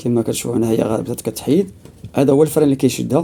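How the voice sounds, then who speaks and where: This man's fairly high voice has a dark, mellow tone and ordinary pitch variation. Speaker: DIY repair video maker. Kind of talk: tutorial. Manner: halting, many fillers.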